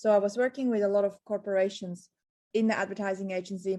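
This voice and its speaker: A woman with a slight Swiss accent, a dark, mellow tone, medium pitch and monotone, flat intonation. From Switzerland. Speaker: entrepreneur and marketing author. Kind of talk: podcast interview.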